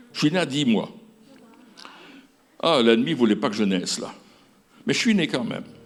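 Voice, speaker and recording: Speaking at a moderate pace with long, frequent pauses, a man uses a medium pitch and very wide pitch swings, and the room echo is audible. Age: 70s. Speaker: pastor. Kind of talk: sermon. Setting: stage with audience. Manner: halting.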